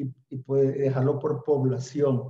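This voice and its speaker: A somewhat breathy man at a fairly high pitch and a moderate pace. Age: 60s. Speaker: audience member, church activist. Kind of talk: panel discussion. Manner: halting.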